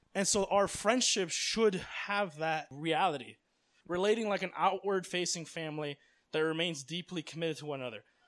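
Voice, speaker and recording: An American accent at a moderate pace. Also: man, high pitch for a man, ordinary pitch variation. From US, Miami, Florida. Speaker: missionary. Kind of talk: religious talk; Q&A answer. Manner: casual, filler-heavy.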